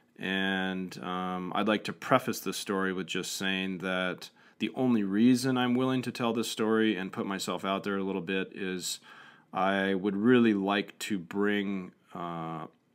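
A man with an American accent speaks at a low pitch in a clear, smooth tone with fairly even intonation. His pace is fairly slow, and the recording is very clean with a silent background.

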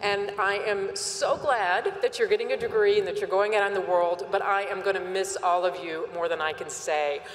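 Hardly pausing, a woman speaks in a warm tone against light background noise and audible room echo. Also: moderate pace. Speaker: university president. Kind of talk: commencement address and ceremony presiding. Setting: stadium with audience. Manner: formal, warm, with light humor. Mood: warm, emotional farewell. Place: stadium. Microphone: podium.

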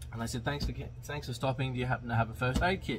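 Against light background noise, a man speaks with ordinary pitch variation. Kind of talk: casual vlog chat, storytelling. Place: car. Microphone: phone near.

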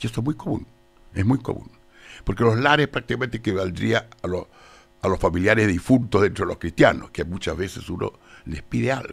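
A man's fairly low voice at a fairly quick pace, full of very wide pitch swings, with faint music in the background. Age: 80s+. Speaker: theologian and lawyer; guest. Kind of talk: radio interview. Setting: radio studio. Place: studio. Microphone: studio mic.

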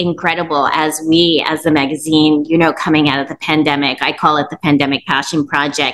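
A moderately paced female voice. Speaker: interview host. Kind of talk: podcast interview. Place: home room. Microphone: earbuds.

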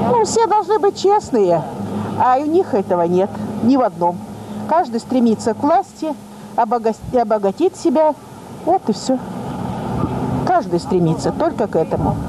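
A woman at high pitch and moderate pace, with very wide pitch swings, long, frequent pauses and noticeable background noise. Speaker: pensioner selling dairy products. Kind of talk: street interview answer. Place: street. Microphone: handheld.

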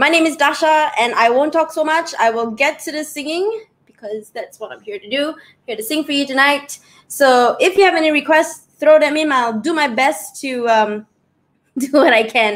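A woman speaks at a high pitch. Her pace is moderate. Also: lively intonation. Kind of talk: casual stage intro to an online audience. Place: home room. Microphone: webcam.

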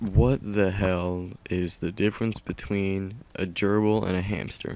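Flat, monotone intonation carries speech that moves fairly slowly. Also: man. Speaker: gaming video creator. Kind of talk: casual gameplay commentary. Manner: sarcastic, monotone.

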